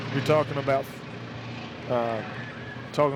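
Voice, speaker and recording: With noticeable background noise around him, a man speaks at a medium pitch in a Kentucky accent. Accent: Harlan County Kentucky. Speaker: radio sports commentator. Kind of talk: live radio sports commentary.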